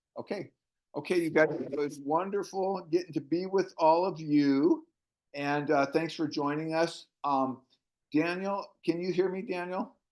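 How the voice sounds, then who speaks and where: Speaking at a fairly slow pace, a man with a high pitch keeps his intonation fairly even. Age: old. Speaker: network marketing team leader. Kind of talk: casual chat. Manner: halting.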